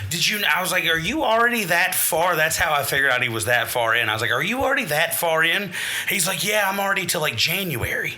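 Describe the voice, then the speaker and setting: Amid noticeable background noise and audible room echo, a man talks at a very fast pace in an animated tone, his high pitch making very wide swings. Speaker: podcast co-host. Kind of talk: casual chat.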